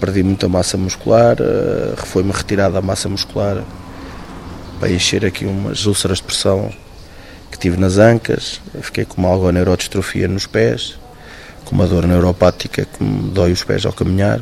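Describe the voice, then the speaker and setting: A man with a very deep, low voice speaks at a moderate pace. He leaves long, frequent pauses, with noticeable background noise behind him. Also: ordinary pitch variation. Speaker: firefighter, accident survivor. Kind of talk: interview testimony.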